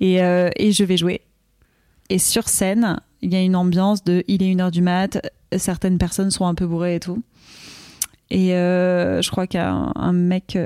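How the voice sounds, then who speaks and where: With a dark, mellow tone, a woman talks at a moderate pace and very even loudness in a dry, close sound with no echo. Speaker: comedian. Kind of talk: casual chat. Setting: live stream.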